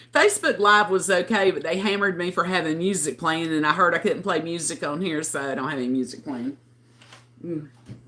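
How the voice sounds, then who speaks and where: Over noticeable background noise, a woman talks fairly quickly in a fairly low pitch. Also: ordinary pitch variation. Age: 60s. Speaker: livestreamer. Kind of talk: casual chat. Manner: chatty.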